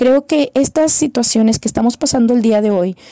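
A woman's high-pitched voice with a dark, mellow tone, ordinary pitch variation and a moderate pace, in a dry, close sound with no echo. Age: 30s. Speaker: psychologist and church missions leader. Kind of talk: recorded testimony.

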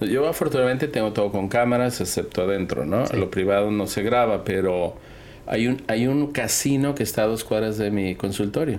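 A man speaks at a moderate pace with fairly low pitch and ordinary pitch variation. His loudness stays very even, and room echo is audible. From Mexico, Guadalajara (Jalisco). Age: 50s. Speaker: dermatologist. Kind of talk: casual interview chat. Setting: in person at a conference in Singapore.

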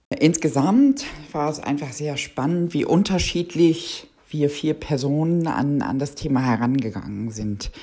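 Speaking at a fairly slow pace, a woman has a very deep, low voice with a dark, mellow tone. Her pitch moves with ordinary variation. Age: 50s. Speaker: project controller. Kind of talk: interview.

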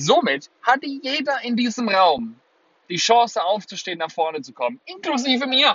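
At a moderate pace, a man with an extremely high voice speaks in an animated tone, his pitch swinging very widely. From Germany, Würzburg (Lower Franconia). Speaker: podcast host and life coach. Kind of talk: motivational monologue. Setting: in a car.

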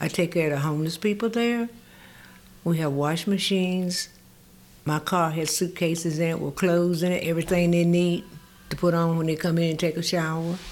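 With a Southern US accent, a woman talks at a fairly quick pace using fairly even intonation. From North Carolina, US South (rural area near Mooresville). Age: 80s. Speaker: community volunteer and retired nurse. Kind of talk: casual interview. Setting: studio.

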